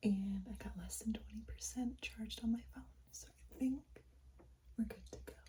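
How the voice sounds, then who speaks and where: Whispering and soft-spoken, the speaker keeps a moderate pace with long, frequent pauses. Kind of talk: casual talk to camera. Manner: soft-spoken, whispered.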